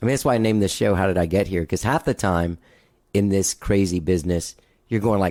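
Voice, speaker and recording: A man with an American accent speaks at a very fast pace and very even loudness. The sound is dry and close with no echo, on a very clean recording with a silent background. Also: fairly low pitch for a man, ordinary pitch variation. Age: 50s. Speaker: podcast host. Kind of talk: casual interview chat.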